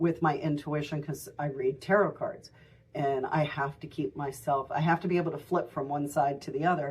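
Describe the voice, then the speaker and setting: The speaker keeps a moderate pace, with fairly even intonation and a somewhat breathy quality. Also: woman. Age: 60s. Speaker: tarot reader and shop owner. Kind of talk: tutorial. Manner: casual, halting with many fillers.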